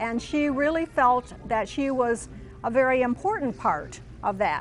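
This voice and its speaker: Over noticeable background noise, a woman speaks at a high pitch with lively intonation. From US Midwest, southern Missouri then Michigan. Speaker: interviewee recalling wartime childhood. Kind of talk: oral history testimony. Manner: hesitant, many fillers.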